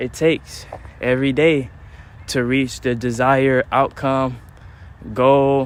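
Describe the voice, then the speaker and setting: A man speaks at medium pitch in a monotone, flat intonation. His pace is fairly slow. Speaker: livestreamer vlogger. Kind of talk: casual livestream monologue while walking. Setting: outdoors on a trail in rain. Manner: halting, self-described stuttering.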